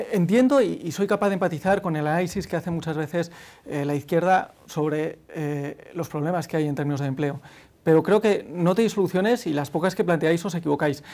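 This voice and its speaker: At a fairly quick pace, a man speaks in a high pitch. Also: ordinary pitch variation. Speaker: youth party leader. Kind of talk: political debate. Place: studio. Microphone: lapel.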